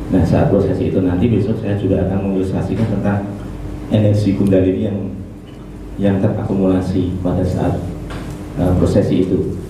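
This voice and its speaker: A man speaks at a fairly quick pace in a very deep, low pitch with monotone, flat intonation, long and frequent pauses, strong room echo and noticeable background noise. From Solo, Central Java. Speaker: spiritual teacher. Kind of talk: religious teaching talk. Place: hall.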